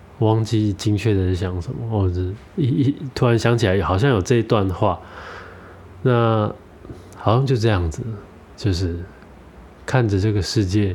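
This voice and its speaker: Delivered at a moderate pace, the speech has ordinary pitch variation and long, frequent pauses. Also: man, fairly low pitch for a man. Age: 30s. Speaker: podcaster. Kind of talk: solo reflective monologue. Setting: at home. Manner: halting.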